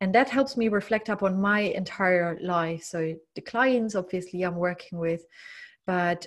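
A woman with a German accent at a medium pitch and moderate pace, ordinary pitch variation, on a very clean recording with a silent background. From East Germany. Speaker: leadership and mindset coach. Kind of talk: casual interview. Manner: hesitant with frequent fillers.

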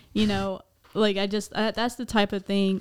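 Using a normal speaking voice, a woman keeps a moderate pace at a medium pitch. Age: 20s. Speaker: podcast host. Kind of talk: casual chat.

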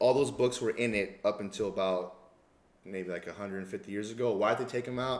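At a moderate pace, a man speaks with fairly even intonation in a normal speaking voice. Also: fairly low pitch for a man. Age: 30s. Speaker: personal trainer and boxing coach. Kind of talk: casual chat.

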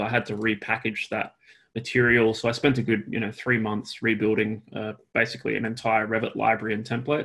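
The man has an Australian accent and speaks at a very fast pace. His pitch is medium and his intonation is monotone and flat. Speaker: architect and BIM consultant. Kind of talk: casual interview chat.

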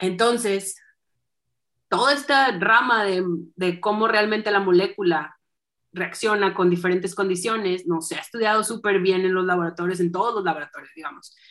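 A woman at medium pitch speaks in an animated tone at a moderate pace, with ordinary pitch variation. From northern Mexico (Saltillo, Coahuila). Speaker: astronomer. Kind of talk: interview.

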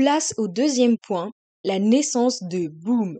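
Heard in a dry, close sound with no echo, a woman with a fairly high pitch and a dark, mellow tone speaks at a fairly slow pace. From Switzerland. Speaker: podcast host. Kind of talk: scripted monologue.

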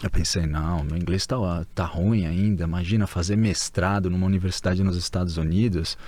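Speaking at a fairly quick pace, a man with a very deep, low pitch and a dark, mellow tone keeps his intonation fairly even. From Brazil. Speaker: Brazilian emigrant and former graduate student. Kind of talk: casual interview.

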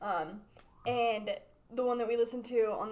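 A plain, everyday voice belonging to a woman, moderate in pace and fairly high-pitched. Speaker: marketing podcast host. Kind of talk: casual chat.

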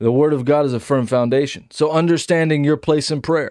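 A man speaks in a normal speaking voice at a fairly high pitch and moderate pace, with fairly even intonation on a very clean recording with a silent background. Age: 30s. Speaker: preacher. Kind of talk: sermon.

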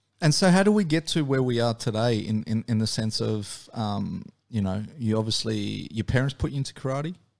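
A man with an Australian accent speaks at medium pitch, moving at a fairly quick pace with hardly any pauses. His pitch swings very widely, and the recording is very clean with a silent background. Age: 40s. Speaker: podcast host. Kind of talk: interview. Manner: hesitant, many fillers.

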